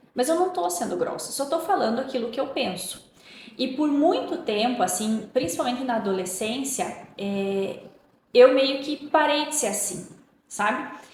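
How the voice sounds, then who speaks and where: The voice has an animated tone and lively intonation. Audible room echo and noticeable background noise surround it. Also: woman, high pitch for a woman, moderate pace. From Paraná, southern Brazil. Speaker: podcast guest. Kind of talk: interview conversation. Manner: animated, expressive.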